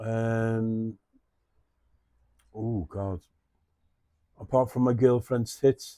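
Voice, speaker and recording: In a Scouse accent, a man with a medium pitch and a dark, mellow tone speaks at a very slow pace, leaving long, frequent pauses. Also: fairly even intonation, dry, close sound with no echo. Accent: Scouse (Liverpool) English. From Liverpool, England. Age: 60s. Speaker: artist and musician. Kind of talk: casual interview chat. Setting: his flea market.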